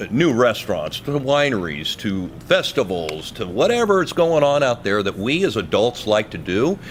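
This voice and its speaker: A man talks at a moderate pace with vocal fry, his pitch swinging very widely. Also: medium pitch for a man. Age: 60s. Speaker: radio host and non-profit vice president. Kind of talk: interview. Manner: energetic; animated.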